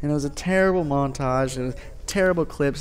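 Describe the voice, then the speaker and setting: Fairly quick pace from a male speaker. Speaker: gaming YouTuber. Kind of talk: gameplay commentary. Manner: fast.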